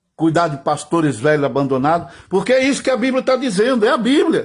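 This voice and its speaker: A high-pitched man talks at a fairly quick pace with very wide pitch swings, against a quiet background. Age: 60s. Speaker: pastor. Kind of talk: sermon.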